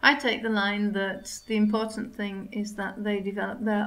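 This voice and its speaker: A woman with a fairly high voice speaks at a moderate pace, with audible room echo. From Yorkshire, northern England. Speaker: English language teacher. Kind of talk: interview. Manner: hesitant with frequent 'um' fillers.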